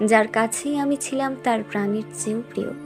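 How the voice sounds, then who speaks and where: A woman with a fairly high pitch speaks in a sad tone with ordinary pitch variation. Music plays in the background. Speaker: poetry reciter. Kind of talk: poetry reading. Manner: sad, emotional.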